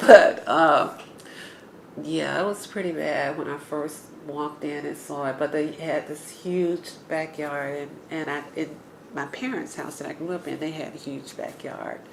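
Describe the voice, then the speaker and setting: A woman with an Atlanta accent at a fairly slow pace, big swings in loudness, audible room echo and noticeable background noise. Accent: Southern American (Atlanta). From US South, Atlanta, Georgia. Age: 60s. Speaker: neighborhood resident interviewee. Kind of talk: oral history interview. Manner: hesitant, many fillers.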